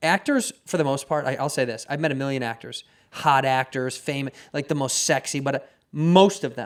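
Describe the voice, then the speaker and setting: A man with a normal speaking voice talks at a fairly quick pace and a fairly high pitch. His pitch varies in an ordinary way. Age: 30s. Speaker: podcast host. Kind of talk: casual chat.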